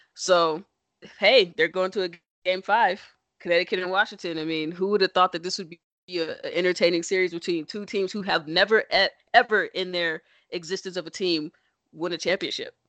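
Playful and animated, a woman talks at a fairly quick pace in a medium pitch, with big swings in loudness. The background is quiet and the sound is dry and close with no echo. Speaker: podcast host. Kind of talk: casual banter podcast chat. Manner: playful, joking, animated.

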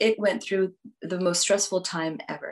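A woman with an American accent talks at a moderate pace in an ordinary speaking voice, her pitch medium. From Houston, Texas. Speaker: business executive. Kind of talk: interview.

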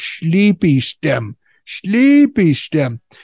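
A put-on character voice at a middle pitch that swings very widely up and down. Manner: mocking imitation of pidgin speech.

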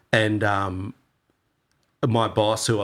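A man with a fairly low pitch and flat, monotone intonation in a very clean recording with a silent background. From Australia, Torquay, Victoria. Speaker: surfer and surf club member. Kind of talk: casual chat.

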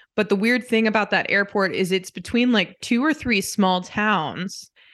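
Against a quiet background, a woman with an ordinary speaking voice and an American accent talks at a fairly slow pace. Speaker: podcast co-host, daughter. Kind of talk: casual family chat.

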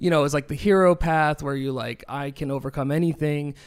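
A plain, everyday voice with fairly even intonation and a moderate pace, in an American accent, on a very clean recording with a silent background. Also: man. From New Hampshire, near Boston. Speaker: musician and DJ. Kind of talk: casual chat.

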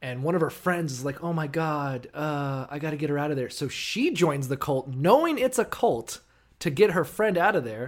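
Recorded very cleanly with a silent background, a man with a plain, everyday voice speaks at a fairly high pitch and a moderate pace with lively intonation. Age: 30s. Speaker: podcast co-host. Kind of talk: casual chat.

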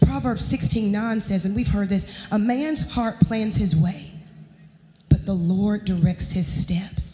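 A woman at a moderate pace with ordinary pitch variation, noticeable background noise, and audible room echo. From US South, Charlotte, North Carolina. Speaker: guest preacher. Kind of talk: sermon. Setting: church.

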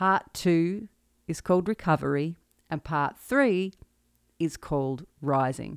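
Speaking with an Australian accent and lively intonation, a woman goes at a very slow pace with long, frequent pauses. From central Victoria, Australia. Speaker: singer-songwriter and podcast host. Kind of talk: solo podcast monologue, personal reflection. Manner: nervous, halting.

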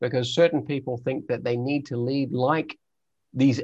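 In a New Zealand accent, a man speaks at a moderate pace and a medium pitch. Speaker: explorer and leadership trainer. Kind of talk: interview.

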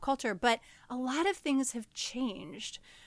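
A woman with a high pitch speaks at a moderate pace in an animated tone. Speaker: podcast host. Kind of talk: casual chat. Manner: animated, laughs often.

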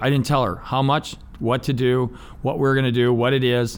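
A man speaks in a normal speaking voice at a medium pitch. His pace is moderate. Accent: American. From Ohio, US. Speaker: business owner and navy veteran. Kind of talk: interview. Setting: studio.

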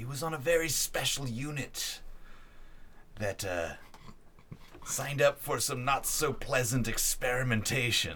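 A man speaks at a medium pitch in a put-on character voice at a moderate pace. Long, frequent pauses break up his speech over clear background noise. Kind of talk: archaic wise-mentor speech. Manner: hushed, grave, solemn.

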